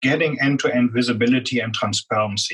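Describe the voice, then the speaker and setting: Speaking with a strong German accent, a man uses ordinary pitch variation. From Germany. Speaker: business executive. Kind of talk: interview.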